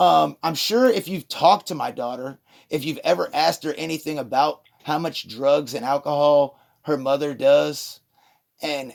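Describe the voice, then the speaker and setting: A loud man at a fairly high pitch. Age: 40s. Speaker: father of a patient, caller. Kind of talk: phone call dispute with therapist.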